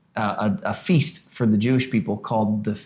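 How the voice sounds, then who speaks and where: A man with a Southern US accent. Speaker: pastor; podcast co-host. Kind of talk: casual chat.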